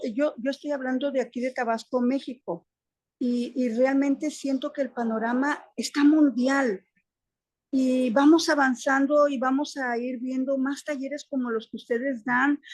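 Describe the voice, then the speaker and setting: The voice keeps fairly even intonation at a fairly slow pace. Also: woman, high pitch for a woman. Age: 60s. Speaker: primary school teacher, webinar participant. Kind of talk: audience comment in webinar Q&A. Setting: online webinar.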